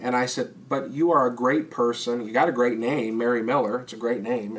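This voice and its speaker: A man with an American accent, medium pitch, fairly even intonation, and an ordinary speaking voice. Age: young. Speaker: local elected official. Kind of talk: casual interview.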